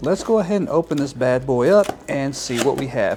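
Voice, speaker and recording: Amid noticeable background noise, a man with an American accent speaks in a fairly high voice with lively intonation. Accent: Texas accent, stronger when speaking slowly. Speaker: YouTuber reviewing products. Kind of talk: unboxing video. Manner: casual, chatty.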